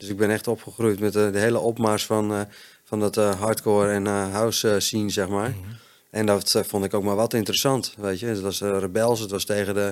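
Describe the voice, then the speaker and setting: Monotone and flat in intonation, a man speaks at a moderate pace in a fairly low pitch. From Netherlands, Friesland. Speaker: chef in addiction recovery. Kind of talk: interview, personal testimony. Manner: halting, many fillers.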